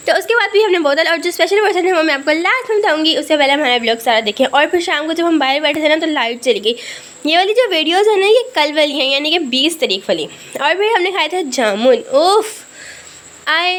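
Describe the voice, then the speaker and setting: Against noticeable background noise, a woman speaks at a moderate pace in a high voice with very wide pitch swings. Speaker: family vlogger. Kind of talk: vlog narration. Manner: casual chatty.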